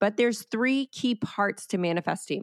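A woman with an American accent speaks at a moderate pace in a dry, close sound with no echo. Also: very clean recording, silent background. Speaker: podcast host and wellness coach. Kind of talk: solo podcast monologue, motivational talk. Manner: animated, upbeat, chatty.

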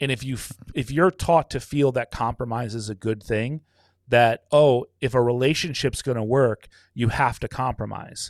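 In a very clean recording with a silent background, a man with an unremarkable speaking voice talks at medium pitch and a moderate pace, the sound dry and close with no echo. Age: 40s. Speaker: business owner and podcaster. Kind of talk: casual chat.

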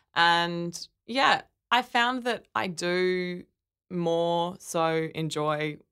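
There's a bright, sharp tone to this woman with an Australian accent, heard in a very clean recording with a silent background. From Australia, Brisbane. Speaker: artist and designer. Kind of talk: interview.

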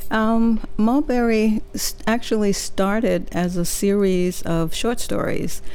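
A woman talks in a plain, everyday voice at a fairly high pitch. Her loudness stays very even, her pitch varies in an ordinary way, and she makes hardly any pauses. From Mississippi, US South; moved to San Francisco as a teenager. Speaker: novelist. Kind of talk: interview. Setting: radio studio.

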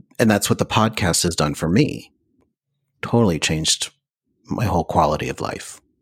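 A man with a very deep, low voice and vocal fry speaks with lively intonation. He leaves long, frequent pauses. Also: moderate pace. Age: 50s. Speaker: podcast host. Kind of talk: interview.

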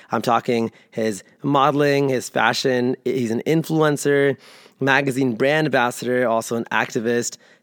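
A man with an American accent and an unremarkable speaking voice, medium in pitch and moderate in pace, in a dry, close sound with no echo. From US South, Atlanta. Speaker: podcast host. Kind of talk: scripted intro and outro; interview conversation. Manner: upbeat.

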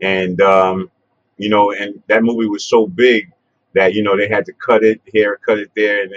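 With a New York accent, a man talks at a moderate pace in a fairly low pitch. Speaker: interviewer, hip-hop pioneer. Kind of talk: casual interview. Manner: halting, many fillers.

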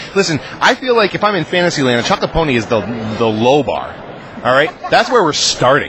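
Over noticeable background noise, someone with an American accent speaks fairly quickly, the pitch swinging very widely. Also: man, fairly high pitch for a man. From Massachusetts, US. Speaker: comic book writer. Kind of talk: interview at a convention. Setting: comic convention floor.

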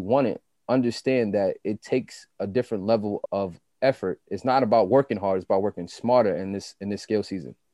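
With a New York accent, a man talks very fast with ordinary pitch variation. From Queens, New York (Jamaica, Southside). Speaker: podcast co-host, fitness trainer and entrepreneur. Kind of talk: casual chat.

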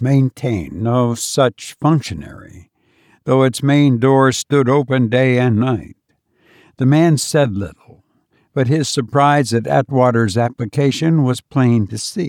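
At a fairly slow pace and medium pitch, a man speaks in a plain, everyday voice with ordinary pitch variation, the sound dry and close with no echo on a very clean recording with a silent background. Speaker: podcast host and narrator. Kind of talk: horror story narration, read aloud in a hushed, measured storyteller's voice; casual chat with listeners. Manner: slow, deliberate, suspenseful narration; relaxed, conversational, self-deprecating.

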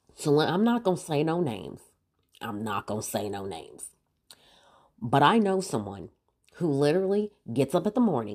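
A woman at a moderate pace, animated in tone, with very wide pitch swings. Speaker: podcast host. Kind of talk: solo comedic rant.

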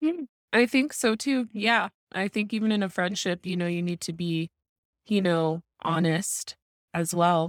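A woman with an American accent and a normal speaking voice talks at a fairly slow pace, her medium pitch showing ordinary pitch variation, in a very clean recording with a silent background and a dry, close sound with no echo. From Arizona, Tucson. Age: 30s. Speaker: content creator. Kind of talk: casual chat.

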